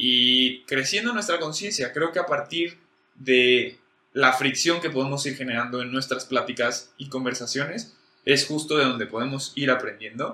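The man's pitch is fairly high, with ordinary variation. He speaks at a fairly slow pace. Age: 20s. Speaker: podcast co-host. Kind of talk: casual chat.

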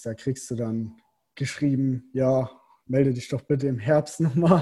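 A man's somewhat breathy voice has a dark, mellow tone, a medium pitch and ordinary pitch variation. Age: 20s. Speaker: professional triathlete. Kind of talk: casual interview.

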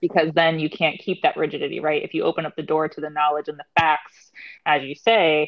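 A woman talks at a fairly quick pace. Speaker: spiritual wellness podcast co-host. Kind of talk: casual chat.

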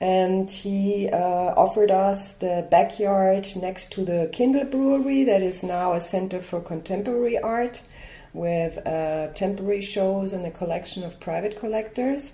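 A woman speaks at a moderate pace with hardly any pauses, in an unremarkable speaking voice. Her pitch is medium with ordinary variation. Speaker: art curator. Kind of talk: interview answers.

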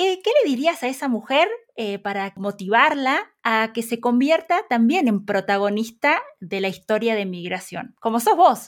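A woman speaking with very wide pitch swings and hardly any pauses. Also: fairly high pitch for a woman, fairly slow pace. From Argentina. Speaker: podcast host. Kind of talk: interview.

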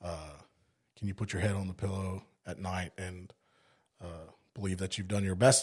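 A man's very deep, low, somewhat breathy voice in monotone, flat intonation, at a moderate pace with long, frequent pauses, on a very clean recording with a silent background. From South Africa (Cape Town), moved to East Texas at 15. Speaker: firefighter. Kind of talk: casual chat.

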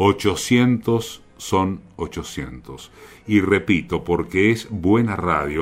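Over music in the background, a man with a very deep, low pitch speaks at a very slow pace with ordinary pitch variation. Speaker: radio host. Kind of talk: radio monologue and interview.

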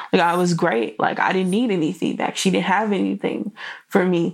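The recording is very clean, with a silent background. A woman with a fairly low pitch and ordinary pitch variation talks at a fairly quick pace. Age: 20s. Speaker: podcast host and blogger. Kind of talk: casual solo podcast talk. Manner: animated.

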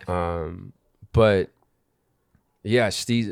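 A man talks with an American accent and ordinary pitch variation, captured on a very clean recording with a silent background. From Southern California, Orange County. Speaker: musician in a band. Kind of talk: casual chat. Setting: studio.

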